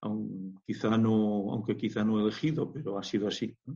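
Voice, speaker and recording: A man talks at a fairly slow pace in a fairly low pitch. His tone is dark and mellow. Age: 60s. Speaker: scientist entrepreneur and shamanic practitioner. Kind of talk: interview. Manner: halting.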